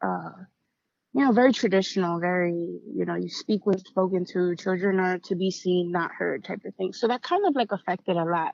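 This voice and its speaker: A woman uses a normal speaking voice, pitched in the medium range with ordinary pitch variation. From US inner city, Puerto Rican family. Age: 30s. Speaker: writer, poet and motivational speaker in recovery. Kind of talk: personal testimony in podcast interview. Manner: casual, with many fillers.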